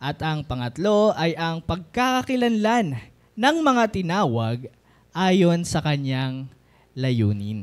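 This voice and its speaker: Talking at a very slow pace, a man with a high voice makes very wide pitch swings in a very clean recording with a silent background. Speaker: preacher. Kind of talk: sermon. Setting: church.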